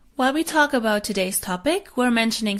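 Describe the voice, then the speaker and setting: A woman speaks with a German accent at a fairly quick pace. Her pitch is fairly high and her intonation lively. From Germany. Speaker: podcast host. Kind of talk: scripted intro.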